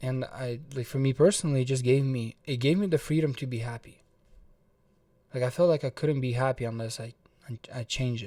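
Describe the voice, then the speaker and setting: With a slight Russian accent, a man talks at a fairly quick pace in a dark, mellow tone, with ordinary pitch variation and long, frequent pauses, on a very clean recording with a silent background. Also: medium pitch for a man. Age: 20s. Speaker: motivational vlogger. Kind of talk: personal story vlog. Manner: casual, filler-heavy with repetitions.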